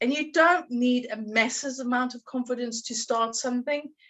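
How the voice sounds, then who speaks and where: A woman's high-pitched voice at a moderate pace. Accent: strong South African. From South Africa. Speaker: confidence coach. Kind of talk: podcast interview.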